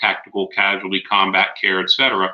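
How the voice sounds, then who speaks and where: Fairly low in pitch, a man talks at a fairly quick pace in a bright, sharp tone. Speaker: police officer and conference presenter. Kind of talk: conference presentation. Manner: loud.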